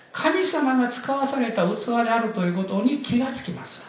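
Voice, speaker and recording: Background noise is clearly noticeable. The speech moves at a moderate tempo. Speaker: guest pastor. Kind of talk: sermon. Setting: church.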